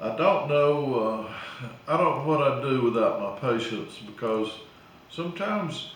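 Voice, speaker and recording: Over noticeable background noise and audible room echo, a man with an Alabama accent talks at a fairly slow pace in a fairly high pitch with lively intonation. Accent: Southern US (Alabama). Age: 70s. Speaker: small-town mayor. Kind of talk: casual interview. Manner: hesitant, many uh fillers.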